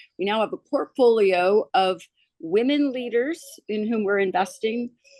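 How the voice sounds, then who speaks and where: Lively intonation carries speech delivered at a fairly slow pace, with a dry, close sound and no echo. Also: woman. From California, US. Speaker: philanthropist and investor. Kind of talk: panel introduction, casual conversation. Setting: remote call from Mexico. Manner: hesitant, many fillers.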